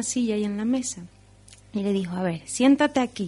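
At a moderate pace, a woman speaks in a somewhat breathy voice at a medium pitch. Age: young. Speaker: storyteller and marine biologist. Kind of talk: radio interview; storytelling performance. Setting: radio studio.

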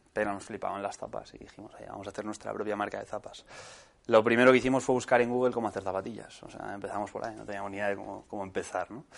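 A man's fairly low voice with vocal fry, fairly even intonation, big swings in loudness and a very fast pace. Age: 20s. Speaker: entrepreneur. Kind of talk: talk to students. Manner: casual, halting.

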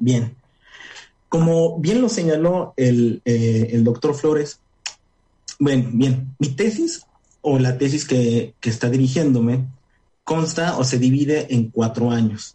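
Somewhat breathy and medium in pitch, a man speaks at a very slow pace with long, frequent pauses, very even loudness and ordinary pitch variation. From Puebla, Mexico. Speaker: urban studies researcher. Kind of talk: radio interview.

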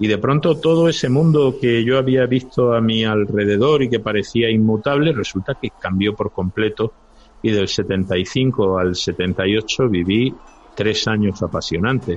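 A man's unremarkable speaking voice at medium pitch, fairly slow in pace with ordinary pitch variation. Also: very even loudness. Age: 50s. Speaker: lawyer. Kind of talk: casual chat.

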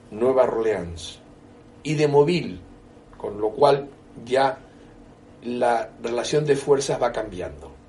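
Over noticeable background noise, a man with a fairly high voice speaks at a fairly slow pace with lively intonation. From Canary Islands. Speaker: historian. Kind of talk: interview. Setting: bookshop.

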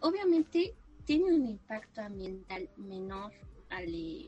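Noticeable background noise is present. Over it, a woman talks with lively intonation. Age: 20s. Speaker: university student and environmental advocate. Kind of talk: casual interview chat.

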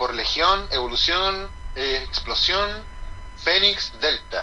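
Against noticeable background noise, a man with a Chilean accent speaks at a very slow pace. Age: 30s. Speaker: professional wrestler. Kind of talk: casual interview.

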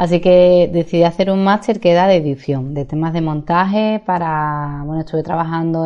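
Over background music, a woman speaks at a fairly low pitch. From Seville, Spain. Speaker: life coach and podcaster. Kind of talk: podcast monologue.

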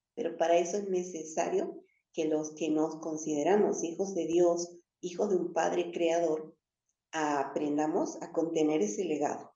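In a room with audible echo, a woman speaks at a fairly slow pace, her fairly low voice keeping a fairly even intonation. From northern Argentina, Jujuy. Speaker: spiritual teacher. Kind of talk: spiritual teaching talk. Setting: live stream.

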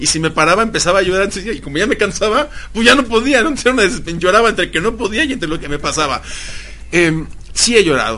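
With lively intonation, a man talks at a fairly quick pace over noticeable background noise. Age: 30s. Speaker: motivational speaker. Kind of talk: interview. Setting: studio.

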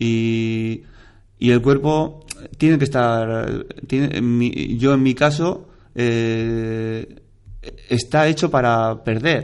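Very slowly and with long, frequent pauses, a man speaks at a medium pitch with ordinary pitch variation. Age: 40s. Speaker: amateur triathlete, double amputee. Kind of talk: interview.

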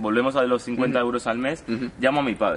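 Here a man talks at a fairly quick pace. His voice sits at a medium pitch. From Uruguay, raised in Spain from childhood. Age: 20s. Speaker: young online seller / entrepreneur. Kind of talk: interview, casual storytelling. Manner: hesitant, many fillers.

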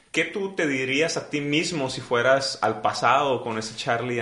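Noticeable background noise fills the clip. Over it, a man is speaking. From Mexico. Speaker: podcast host. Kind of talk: casual interview.

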